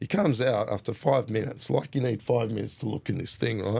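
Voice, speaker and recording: A man with an Australian accent speaks at a fairly quick pace and medium pitch. His tone is dark and mellow, with ordinary pitch variation. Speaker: hip hop artist and mountain biker. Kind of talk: casual storytelling interview. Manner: animated.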